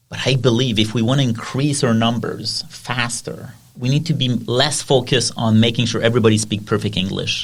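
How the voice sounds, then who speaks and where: With a French accent, a man speaks at a fairly quick pace with hardly any pauses, sounding somewhat breathy and keeping fairly even intonation. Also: medium pitch for a man. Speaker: podcast host. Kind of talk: casual chat.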